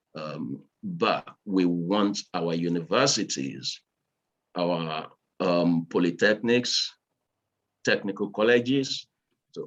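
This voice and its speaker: His intonation is lively. The man's pitch is very deep and low. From Nigeria, Lagos. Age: 60s. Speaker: engineer and business owner. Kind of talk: speech at virtual event. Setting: video call. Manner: halting, many fillers.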